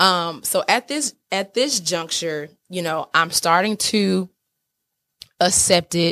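Fairly low for a woman, a bright, sharp female voice with an American accent, lively intonation and a very slow pace, on a very clean recording with a silent background. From Atlanta, US South. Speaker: podcast host. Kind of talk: personal storytelling monologue. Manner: casual, conversational.

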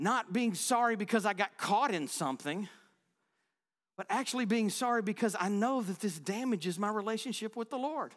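High-pitched and animated, a man's voice comes through on a very clean recording with a silent background. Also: ordinary pitch variation, moderate pace. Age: 40s. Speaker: pastor. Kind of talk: sermon, warm and story-led, laughing, then firm exhortation and closing prayer. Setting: church.

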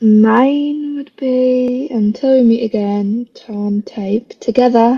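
At a very slow pace, a woman with a British accent speaks with ordinary pitch variation. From UK. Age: 20s. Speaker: fan podcaster. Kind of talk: casual chat.

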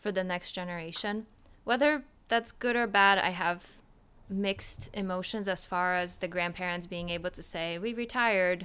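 With a Polish accent, a woman of medium pitch talks at a moderate pace in a bright, sharp tone, her pitch varying in an ordinary way. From Poland (Wrocław). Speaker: podcast guest. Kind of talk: casual chat.

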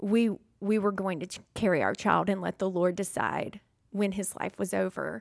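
Her voice is pitched at a medium level. The woman speaks with a Southern US accent. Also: very clean recording, silent background. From Mississippi. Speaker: stay-at-home mother. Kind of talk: testimony.

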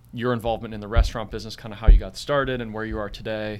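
This man has an unremarkable speaking voice. He sits at a medium pitch with fairly even intonation. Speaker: podcast host. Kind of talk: casual interview chat.

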